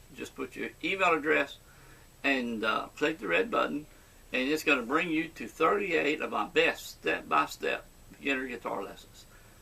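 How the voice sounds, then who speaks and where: With an American accent, the man keeps a moderate pace. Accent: Cajun southern US. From Louisiana, southwest. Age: 70s. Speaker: guitar teacher. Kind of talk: tutorial. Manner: halting.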